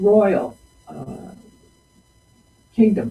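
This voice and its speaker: The woman's voice sits at a medium pitch. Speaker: presenter. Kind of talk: storytelling talk. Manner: slow.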